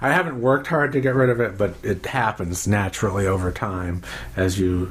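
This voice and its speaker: The man's pitch is fairly low. Noticeable background noise runs underneath. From Maine. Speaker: mayoral candidate, attorney. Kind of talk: interview.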